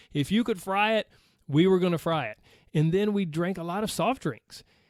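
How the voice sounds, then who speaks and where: Moderate pace and ordinary pitch variation in an American accent, on a very clean recording with a silent background. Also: man. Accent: Southern US accent, noticeable to outsiders. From US South, Georgia. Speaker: podcast host, weight loss coach. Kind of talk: casual podcast monologue.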